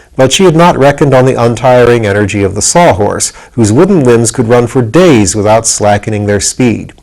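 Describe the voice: Lively intonation over plain reading aloud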